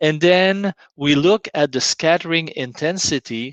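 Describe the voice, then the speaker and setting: Speaking at a very slow pace with a French accent, a man sounds dry and close, with no echo. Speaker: scientist. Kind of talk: lecture.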